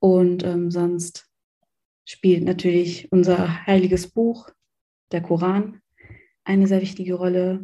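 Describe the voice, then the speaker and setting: A woman speaks very slowly at a medium pitch, her tone dark and mellow. Her intonation is flat and monotone, broken by long, frequent pauses. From Germany. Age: 20s. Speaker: student talking about her faith. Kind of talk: interview.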